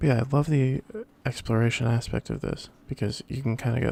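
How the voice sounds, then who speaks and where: A man speaks with a somewhat breathy voice and ordinary pitch variation. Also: dry, close sound with no echo. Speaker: let's play gamer. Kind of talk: gameplay commentary. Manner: casual; soft-spoken.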